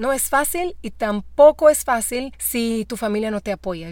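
With a Brazilian accent and lively intonation, the speaker moves at a fairly slow pace on a very clean recording with a silent background. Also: woman. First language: Portuguese (speaking Spanish). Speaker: actress and voice actor. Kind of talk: interview. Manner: halting.

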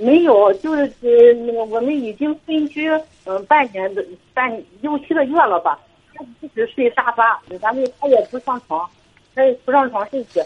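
A woman with a high voice and lively intonation keeps a moderate pace. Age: 40s. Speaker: caller. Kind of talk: call-in advice chat. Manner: halting.

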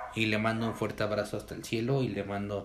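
A man with fairly low pitch and fairly even intonation talks at a moderate pace, with audible room echo and noticeable background noise. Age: 20s. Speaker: podcast host. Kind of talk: casual chat.

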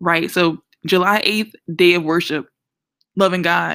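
A woman speaks with a New Orleans accent in a very clean recording against a silent background. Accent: New Orleans Southern US. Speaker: podcast host and Bible teacher. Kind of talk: Bible teaching podcast talk. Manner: casual, animated.

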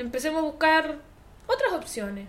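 A woman's high-pitched voice in a Chilean accent, with lively intonation, over noticeable background noise. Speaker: podcast co-host. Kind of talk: casual chat.

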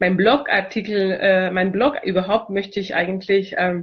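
A woman with a medium pitch speaks very slowly in a somewhat breathy voice. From Chile. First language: Spanish (speaking German). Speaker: multilingualism consultant. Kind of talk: video self-introduction. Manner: hesitant, many fillers.

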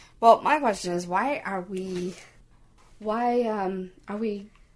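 Speaking at a moderate pace, a woman has a Canadian accent. Her medium pitch shows ordinary variation. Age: 20s. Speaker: podcast co-host. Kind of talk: casual chat. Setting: home recording, shared headphones.

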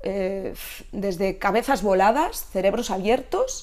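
A woman is speaking. Her pace is very slow. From Catalonia, Spain. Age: 50s. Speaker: Pilates instructor. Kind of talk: interview.

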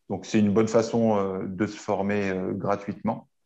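A man speaks at a fairly slow pace with a dark, mellow tone against a quiet background. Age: 40s. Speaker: strength and conditioning coach. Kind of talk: interview. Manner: halting.

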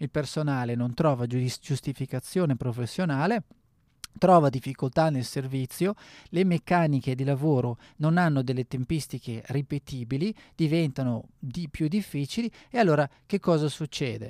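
The recording is very clean with a silent background and a dry, close sound with no echo, as a man with a fairly high pitch and ordinary pitch variation talks at a moderate pace. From northern Italy, Bergamo. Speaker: radio host and sommelier. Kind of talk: radio monologue. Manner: halting, many fillers.

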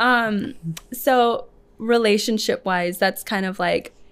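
The recording is very clean, with a silent background. A woman with a Midwestern US accent speaks with ordinary pitch variation. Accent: US Midwest. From Lincoln, Nebraska (adopted from Ethiopia as a small child). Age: 30s. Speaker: salon owner. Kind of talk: casual interview.

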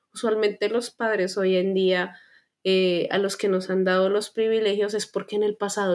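Her medium-pitched voice stays monotone and flat as the woman talks at a moderate pace. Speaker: podcast co-host. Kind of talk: casual chat.

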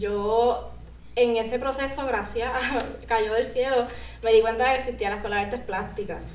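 Audible room echo surrounds a woman with a fairly high pitch who speaks in a monotone, flat intonation. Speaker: artist and content creator. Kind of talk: casual interview. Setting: studio.

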